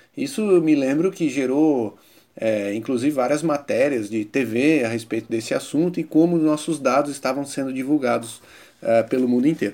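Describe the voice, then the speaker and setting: Speaking at a moderate pace, a man with a fairly high pitch uses ordinary pitch variation in a dark, mellow tone. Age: 30s. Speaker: innovation consultant and professor. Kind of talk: interview.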